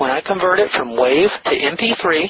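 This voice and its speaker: The voice is a man's. Its rise and fall in pitch is ordinary. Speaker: online publisher and internet marketer. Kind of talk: interview.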